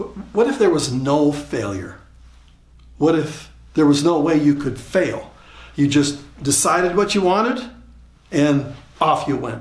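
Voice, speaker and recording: Amid audible room echo, a man with a fairly high pitch and vocal fry talks at a fairly slow pace with lively intonation and long, frequent pauses. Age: 70s. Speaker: motivational speaker. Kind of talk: motivational talk. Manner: repeats words, halting starts.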